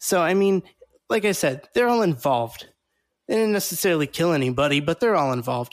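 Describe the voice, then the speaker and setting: A normal speaking voice with lively intonation at a fairly quick pace. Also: man. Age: 30s. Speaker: podcast host. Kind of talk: casual chat.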